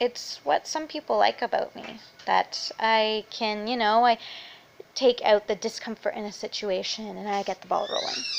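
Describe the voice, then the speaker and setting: Speaking at a moderate pace, a woman's voice shows big swings in loudness. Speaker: vlogger. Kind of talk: casual chat. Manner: animated.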